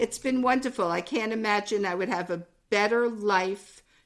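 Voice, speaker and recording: The speaker has a New York accent, captured on a very clean recording with a silent background. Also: woman. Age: 70s. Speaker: podcast co-host, mother. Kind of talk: casual chat.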